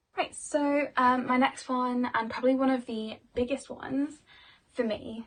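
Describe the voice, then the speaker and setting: A woman speaks loudly in a high voice. Her pace is fairly slow. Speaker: vlogger and dancer. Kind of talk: casual vlog talk. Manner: chatty, many fillers.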